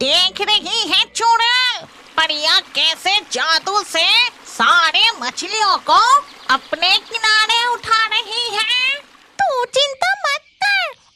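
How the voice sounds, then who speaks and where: A female-sounding, cartoonish character voice with an extremely high pitch at a very slow pace. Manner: quarrelsome.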